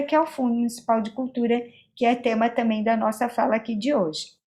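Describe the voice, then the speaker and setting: A woman talks fairly quickly, and the recording is very clean with a silent background. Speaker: cultural policy lecturer. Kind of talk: lecture.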